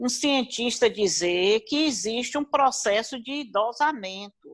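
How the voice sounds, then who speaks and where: Speaking at a fairly slow pace, a woman uses a high voice with lively intonation, and the recording is very clean with a silent background. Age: 70s. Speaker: gerontology professional. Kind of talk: panel discussion.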